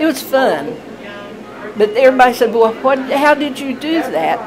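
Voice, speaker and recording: Over crowd noise in the background, a woman with an American accent and a high pitch talks at a moderate pace with ordinary pitch variation. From Indiana. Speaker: retired factory worker. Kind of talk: interview answer.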